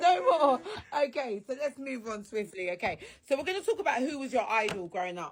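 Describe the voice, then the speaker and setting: With a British accent, a woman talks at a fairly quick pace in a high pitch, her tone animated and her pitch swinging very widely. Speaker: radio show host. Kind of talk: casual interview. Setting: radio studio.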